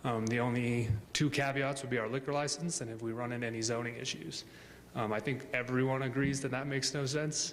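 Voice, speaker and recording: Very fast and with fairly even intonation, a man at medium pitch talks through noticeable background noise and audible room echo. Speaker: business representative presenting to city council. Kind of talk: public comment at council meeting. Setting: city council meeting chamber.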